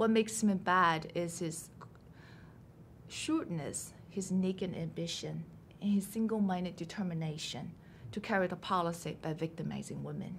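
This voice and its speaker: A woman with a Chinese accent speaks at a moderate pace in a fairly low voice with vocal fry and fairly even intonation. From China. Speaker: novelist. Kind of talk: interview. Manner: measured, prepared answers.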